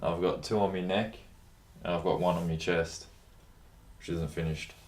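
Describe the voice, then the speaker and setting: Audible room echo surrounds a man whose very deep, low voice moves at a moderate pace in a monotone, flat way. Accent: Australian. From Australia, Melbourne area. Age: 20s. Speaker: plumber. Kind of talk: interview. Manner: casual, halting with fillers.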